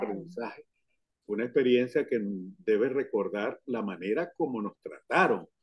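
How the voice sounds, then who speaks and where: A man speaks with a Venezuelan accent at a moderate pace. His pitch is medium. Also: lively intonation. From Caracas, Venezuela. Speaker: university professor; radio announcer. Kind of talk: interview answer.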